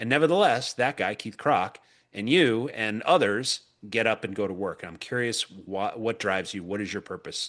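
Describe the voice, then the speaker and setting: A man speaks in a normal speaking voice at medium pitch with lively intonation. His pace is moderate, and the background is quiet. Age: 50s. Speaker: podcast host. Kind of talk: interview.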